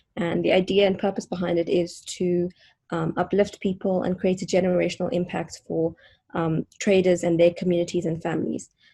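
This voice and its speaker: A woman speaks in a fairly low pitch with vocal fry at a fairly quick pace. Her intonation is monotone and flat. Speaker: startup founder. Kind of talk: online event introduction.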